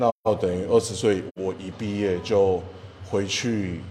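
Noticeable background noise sits behind a man speaking very slowly. His fairly low voice holds a monotone, flat intonation. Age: 30s. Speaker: egg crepe shop owner and drum teacher. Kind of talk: casual interview.

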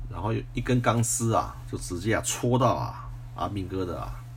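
A man with a very deep, low pitch speaks at a moderate pace, his pitch swinging very widely. Audible room echo surrounds his voice. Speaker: retired military officer podcaster. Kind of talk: personal storytelling monologue. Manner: frequent filler particles and repetition.

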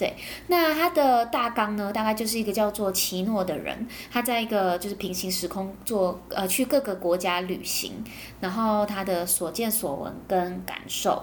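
Noticeable background noise behind a woman speaking with ordinary pitch variation. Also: medium pitch for a woman, fairly slow pace. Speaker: podcast host. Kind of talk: casual monologue, anime review. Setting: home recording.

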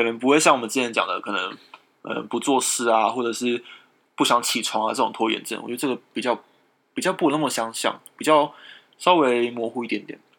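Here a man has an unremarkable speaking voice at a medium pitch. He moves at a fairly quick pace with ordinary pitch variation. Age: 20s. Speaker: podcast co-host. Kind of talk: casual chat.

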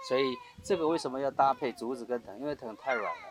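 There is noticeable background noise in this clip. A man talks over it at a moderate pace. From Taiwan, Bunun village; raised in Liugui. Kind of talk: interview. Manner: hesitant with many fillers.

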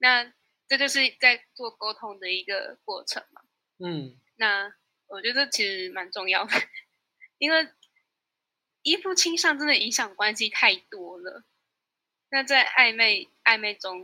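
Speaking at a fairly slow pace with long, frequent pauses, a woman uses a bright, sharp tone and lively intonation. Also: fairly high pitch for a woman. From Taiwan (Tainan). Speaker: university student. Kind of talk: interview.

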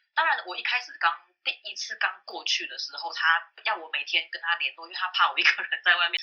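The woman here speaks at a fairly quick pace. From Taiwan, Taipei. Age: 30s. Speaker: former call center specialist. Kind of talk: casual interview chat.

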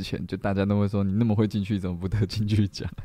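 The recording is very clean and the background completely silent, and the man's voice has a dark, mellow sound. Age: 20s. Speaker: musician and live radio host. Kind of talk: casual live-stream chat. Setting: solo live stream with background music. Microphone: mic too quiet at start.

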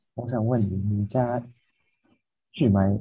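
At a fairly slow pace, the speaker's somewhat breathy voice has a dark, mellow tone and ordinary pitch variation. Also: man. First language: Japanese (speaking Chinese). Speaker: podcast co-host. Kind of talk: casual chat.

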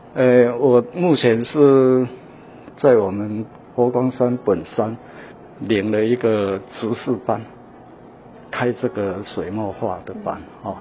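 A man at medium pitch, speaking very slowly with long, frequent pauses, ordinary pitch variation and big swings in loudness, against noticeable background noise. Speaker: painter. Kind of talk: interview; gallery tour interview. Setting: art museum gallery. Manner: halting with many fillers.

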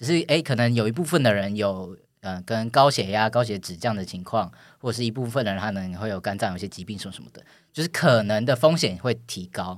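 Speaking at a very fast pace with lively intonation and big swings in loudness, the voice comes through a very clean recording with a silent background. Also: man. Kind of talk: casual chat. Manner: halting, many fillers.

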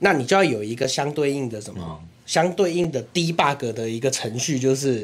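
With a normal speaking voice, a man speaks at a moderate pace in a medium pitch, using lively intonation and hardly any pauses. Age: young. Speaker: city councillor. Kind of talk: casual chat.

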